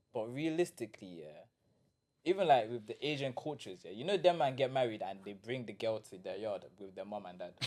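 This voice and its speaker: Speaking with a London accent, a man moves at a fairly quick pace. His pitch swings very widely, and his volume jumps up and down a lot. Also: medium pitch for a man. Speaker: podcast co-host. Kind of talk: casual chat. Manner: animated.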